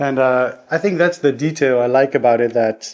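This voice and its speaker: A man speaks at a medium pitch with a Dutch accent. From Netherlands. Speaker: singer-songwriter. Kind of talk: interview answers. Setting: studio.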